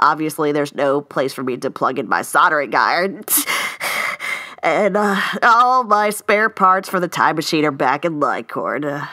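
Using a cartoonish character voice, a woman talks at a low pitch in a bright, sharp tone, fairly slowly, with lively intonation and long, frequent pauses.

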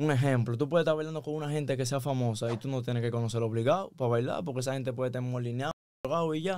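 In a Dominican accent, a man talks at a very fast pace with ordinary pitch variation, the sound dry with no echo. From Dominican Republic. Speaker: musician; podcast guest. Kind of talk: casual chat. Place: studio. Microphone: studio mic.

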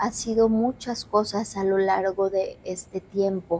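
A woman speaks at a very slow pace in a dark, mellow tone. Her intonation is monotone and flat. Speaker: paranormal investigator host. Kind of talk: presenter commentary. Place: hall. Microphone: lapel.

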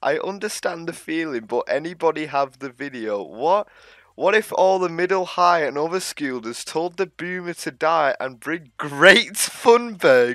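Pitched high for a man, his bright, sharp voice moves at a fairly slow pace with lively intonation, recorded very cleanly against a silent background in a dry, close sound with no echo. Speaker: YouTuber. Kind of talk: casual commentary reaction video. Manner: animated.

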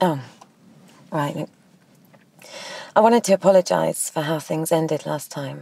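A woman's put-on character voice, low in pitch for a woman, with vocal fry, a slightly husky edge, a dark, mellow tone and a fairly slow pace. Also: ordinary pitch variation.

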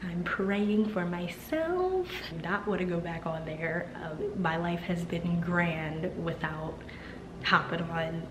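This woman talks at a very slow pace in a flat monotone. Noticeable background noise runs under her voice. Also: fairly low pitch for a woman. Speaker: vlogger. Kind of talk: casual vlog chat. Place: home room. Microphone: phone near.

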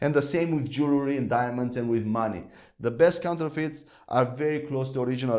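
The background is quiet as a man talks at a fairly quick pace. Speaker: Bible teacher. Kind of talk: teaching lecture. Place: studio. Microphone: lapel.

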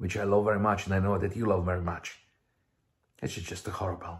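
Before a quiet background, a man with a Russian accent speaks at a fairly low pitch in a somewhat breathy voice. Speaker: missionary preacher. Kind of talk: video sermon and testimony. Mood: warm, smiling, earnest. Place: home room. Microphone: headset.

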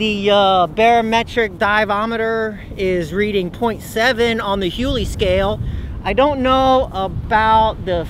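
A man talks with hardly any pauses. The sound is dry with no echo, and background noise is noticeable. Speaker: comedian doing a mock weather report. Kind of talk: comedic mock weather report, stand-up style sketch. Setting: outdoors on a cold beach. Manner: laughs often, playful and excitable. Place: beach.

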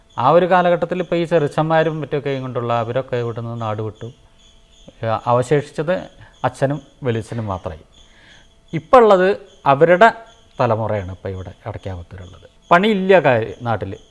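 His loudness swings widely, and his pitch swings very widely. The man's voice sits at a medium pitch. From Kerala, Palakkad district. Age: 50s. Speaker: temple sculptor. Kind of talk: interview. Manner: halting.

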